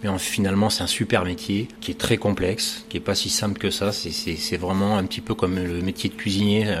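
With noticeable background noise behind him, a man talks at a moderate pace in a fairly low, monotone voice with flat intonation and hardly any pauses. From southwestern France, Gironde. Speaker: pastry chef. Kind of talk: interview. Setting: in his pastry shop. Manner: hesitant, frequent repetitions and fillers.

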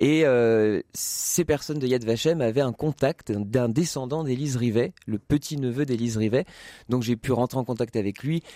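A dark, mellow tone at a moderate pace with ordinary pitch variation, dry and close with no echo on a very clean recording with a silent background. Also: man, medium pitch for a man. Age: 20s. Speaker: playwright and actor. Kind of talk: radio interview. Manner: halting, many hesitations.

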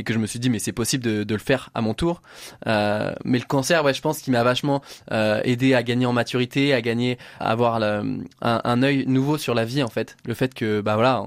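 Recorded very cleanly against a silent background, a man speaks at medium pitch and a fairly quick pace with fairly even intonation. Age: 20s. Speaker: adventurer and motivational speaker. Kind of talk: radio interview. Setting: studio. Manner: halting, with repetitions.

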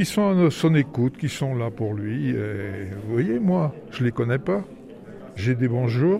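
With lively intonation, a man speaks at a very slow pace amid noticeable background noise. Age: 70s. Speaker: prison inmate. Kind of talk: book discussion.

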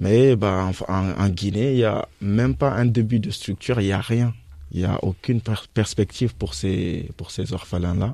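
Dark and mellow in tone, a man's voice sits at a fairly low pitch with ordinary pitch variation. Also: moderate pace. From Guinea. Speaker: former migrant. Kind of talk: radio panel discussion.

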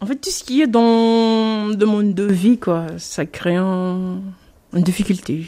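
Very slowly, a woman speaks in a dark, mellow tone at medium pitch with ordinary pitch variation. The recording is very clean with a silent background. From Mayotte. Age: 20s. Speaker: parent. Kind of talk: interview.

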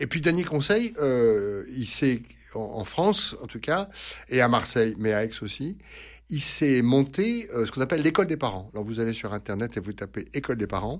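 Very wide swings in a man's pitch, a moderate pace, and a quiet background. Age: 60s. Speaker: priest and psychoanalyst. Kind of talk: radio advice answering listener questions. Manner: halting, many hesitations and repetitions.

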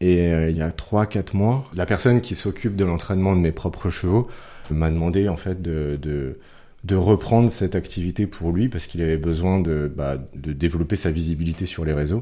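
At a moderate pace, a man with a very deep, low pitch and a dark, mellow tone talks with ordinary pitch variation. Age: 30s. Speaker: horse breeder and community manager. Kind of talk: radio interview. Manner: halting.

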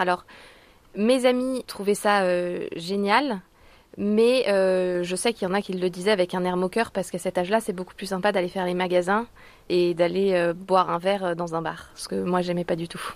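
At a moderate pace, an ordinary speaking voice with fairly even intonation comes through a very clean recording with a silent background. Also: woman. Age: 30s. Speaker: market gardener. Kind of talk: interview.

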